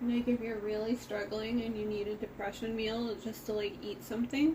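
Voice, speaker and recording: Noticeable background noise sits behind a woman with an American accent and a fairly high pitch. She talks at a moderate pace with fairly even intonation. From United States. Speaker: streamer. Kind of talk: casual chat while cooking on livestream.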